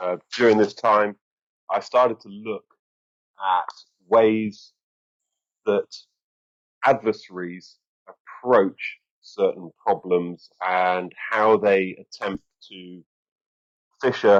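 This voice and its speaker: Very slow and broken by long, frequent pauses, a man's fairly low voice with an English accent keeps fairly even intonation while his loudness swings widely, in a dry, close sound with no echo. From England. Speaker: strategic communications expert, former army officer. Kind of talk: interview. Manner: hesitant, many fillers.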